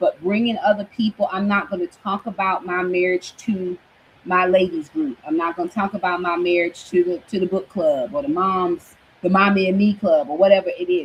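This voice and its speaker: A woman with a medium pitch and ordinary pitch variation talks at a moderate pace while noticeable background noise carries on behind her. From Brooklyn, New York. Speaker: minister / online Bible teacher. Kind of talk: teaching sermon. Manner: loud by habit, tries to keep it down; animated, conversational.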